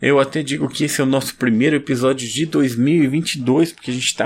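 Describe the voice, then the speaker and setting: A man with a Brazilian accent, fairly high in pitch, on a very clean recording with a silent background. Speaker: podcast host. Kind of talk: casual chat; sales pitch.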